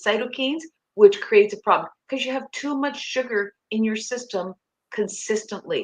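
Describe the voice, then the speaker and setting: A woman with a Canadian accent talks at a moderate pace with ordinary pitch variation in a plain, everyday voice. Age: 60s. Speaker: nutrition coach. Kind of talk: interview.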